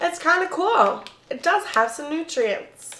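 Over noticeable background noise, a woman talks in an animated tone with lively intonation. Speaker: food reviewer YouTuber. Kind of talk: casual food review vlog. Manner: chatty, animated. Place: home room. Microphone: camera far.

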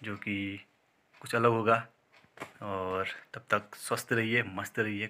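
A man speaks at a very slow pace, at a fairly low pitch. His tone is bright and sharp, and his intonation is monotone and flat. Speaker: fitness vlogger. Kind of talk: casual vlog chat. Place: home room. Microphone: phone near.

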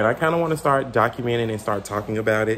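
Light background noise accompanies a man speaking. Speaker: fashion vlogger. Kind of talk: casual vlog chat. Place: home room. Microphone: phone near.

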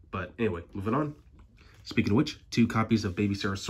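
Somewhat breathy and very fast, a man talks in a very clean recording with a silent background. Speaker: card game YouTuber. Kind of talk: deck profile tutorial. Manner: casual, hesitant with fillers.

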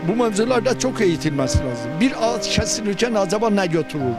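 Clear music plays in the background as a man speaks. The sound is dry, with no echo. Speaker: environmental activist. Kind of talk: interview answer. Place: waterside. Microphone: handheld.

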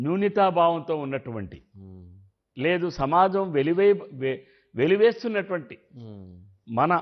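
A loud man at a high pitch, over a quiet background. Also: ordinary pitch variation. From Andhra Pradesh. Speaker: politician, former legislator; politician. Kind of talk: political interview. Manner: loud, forceful. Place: studio. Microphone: lapel.

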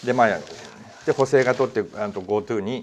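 Speech races along at a very fast pace with lively intonation. Light background noise sits underneath. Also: man. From Japan. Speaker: news talk show host. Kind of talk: casual discussion. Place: studio. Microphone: lapel.

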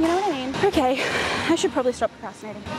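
A woman talking at a very fast pace, dry sound with no echo, clear music in the background. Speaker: fitness vlogger. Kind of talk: casual vlog chat. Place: gym. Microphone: lapel.

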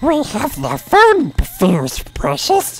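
This is a put-on character voice pitched high. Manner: creepy, hissing.

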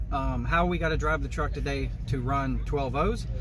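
A man speaks with a dry sound, no echo, and noticeable background noise. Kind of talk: casual vlog chat. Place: car. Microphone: phone near.

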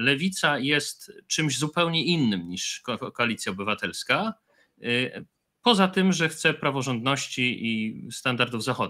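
This man's voice has a fairly high pitch and a bright, sharp tone, with very wide pitch swings. He talks at a fairly slow pace on a very clean recording with a silent background. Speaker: historian and video creator. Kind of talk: panel discussion.

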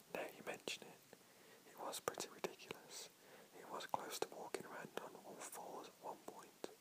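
The speaker is whispering at a moderate pace. The tone is soothing. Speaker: whisper reader / video creator. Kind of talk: whisper reading of comedic dialogue. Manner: whispered, soft and soothing.

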